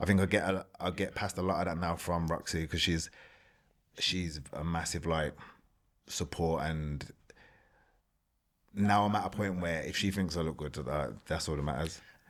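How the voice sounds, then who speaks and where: A man with a Birmingham accent speaks at a moderate pace with long, frequent pauses, his very deep, low voice fairly even in intonation. The recording is very clean, with a silent background. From England, Birmingham. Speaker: former competitive bodybuilder. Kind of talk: podcast interview.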